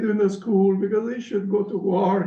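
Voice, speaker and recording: A man speaks in a Sicilian accent at a moderate pace. Audible room echo and noticeable background noise surround him. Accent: Italian (Sicilian) accent in English. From Sicily, southern Italy. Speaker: professor. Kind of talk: Q&A after lecture. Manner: halting, many fillers.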